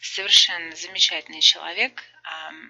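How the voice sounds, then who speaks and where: A woman speaks with vocal fry. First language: Russian. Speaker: matchmaker. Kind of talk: dating interview with translation. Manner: animated.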